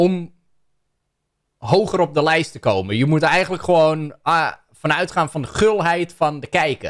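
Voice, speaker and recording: Against a quiet background, a man talks in a plain, everyday voice at a moderate pace, with ordinary pitch variation. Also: fairly high pitch for a man. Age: 30s. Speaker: YouTuber reacting to a video; content creator. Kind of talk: commentary on a video. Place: home room. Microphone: studio mic.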